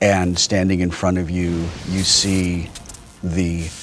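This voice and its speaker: Over music in the background, a man talks at a very slow pace with a very deep, low pitch. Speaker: game master running a tabletop role-playing game. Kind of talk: tabletop RPG game master narration of scene. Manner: descriptive scene narration, slow pacing with pauses.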